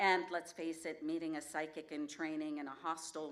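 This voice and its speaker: Audible room echo surrounds a woman's very deep, low voice. She speaks at a moderate pace in a monotone, flat intonation. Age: 60s. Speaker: storyteller. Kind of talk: personal essay read on stage. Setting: stage with audience.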